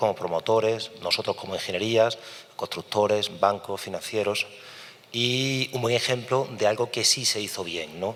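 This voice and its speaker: Noticeable background noise sits behind a man whose medium pitch shifts in an ordinary way. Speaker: engineer, project coordinator. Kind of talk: conference talk. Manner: fast.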